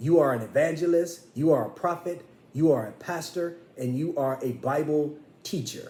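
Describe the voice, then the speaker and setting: At a moderate pace, a man speaks in a fairly high pitch with ordinary pitch variation, with audible room echo. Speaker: minister. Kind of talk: sermon. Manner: pitch rises when passionate; impassioned.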